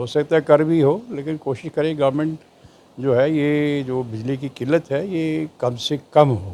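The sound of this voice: A man talks at a fairly slow pace with a fairly high pitch. His tone is dark and mellow, with ordinary pitch variation.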